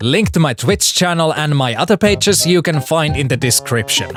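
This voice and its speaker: Music plays in the background as a man with a non-native accent speaks at a moderate pace and fairly high pitch, the sound dry and close with no echo. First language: not English. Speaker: gaming YouTuber. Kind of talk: scripted narration.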